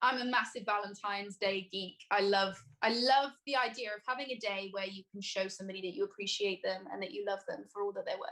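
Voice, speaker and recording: Fairly quick speech with hardly any pauses, a bright, sharp tone and fairly even intonation. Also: woman, medium pitch for a woman. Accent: slight Welsh. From Wales, Newport. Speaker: singer-songwriter. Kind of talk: casual chat.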